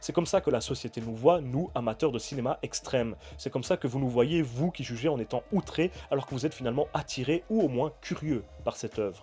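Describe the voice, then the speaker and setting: Music plays in the background as a man talks fairly quickly with lively intonation. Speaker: film critic YouTuber. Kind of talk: film review.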